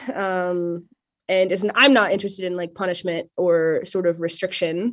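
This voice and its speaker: A woman speaks at a fairly quick pace with a Midwestern US accent, her pitch fairly low. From western Nebraska. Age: 20s. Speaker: poet and grad student. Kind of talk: casual interview chat.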